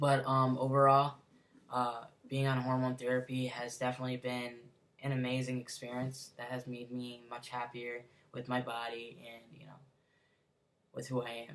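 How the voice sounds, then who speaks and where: A man with an American accent talks at a moderate pace with long, frequent pauses and big swings in loudness. His medium-pitched voice has monotone, flat intonation. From Connecticut. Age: 20s. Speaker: vlogger. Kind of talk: personal vlog. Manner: hesitant, many fillers.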